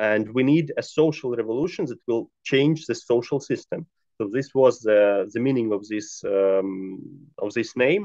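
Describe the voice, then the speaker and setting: With a Ukrainian accent and a dark, mellow tone, the speaker moves at a fairly slow pace with lively intonation and hardly any pauses against a quiet background. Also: man. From Ukraine. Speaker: left-wing activist; guest. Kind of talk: interview. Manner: halting. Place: home room. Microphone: video call.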